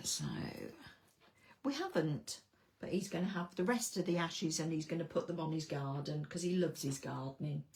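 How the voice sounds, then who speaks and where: A woman speaks at a fairly low pitch with vocal fry and ordinary pitch variation. Her pace is fairly quick, broken by long, frequent pauses. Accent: English. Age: 60s. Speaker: card-making crafter. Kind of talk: live craft tutorial. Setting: livestream at home desk. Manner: casual, hesitant with fillers.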